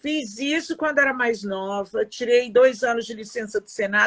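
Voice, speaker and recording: Her tone is bright and sharp, with a high pitch. The woman keeps a moderate pace. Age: 60s. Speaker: Instagram live host. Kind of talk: casual chat. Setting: video call.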